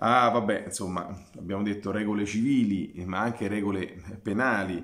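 A man with a fairly low pitch speaks over a quiet background. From Formello, near Rome; Italy. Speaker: archaeologist. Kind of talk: lecture. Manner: halting. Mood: calm, explanatory. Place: home room. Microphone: webcam.

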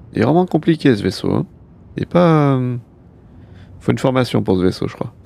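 A man's dark, mellow tone at a fairly quick pace, in a dry sound with no echo. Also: lively intonation. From France. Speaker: gaming streamer. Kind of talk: casual live gameplay stream. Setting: live stream, studio.

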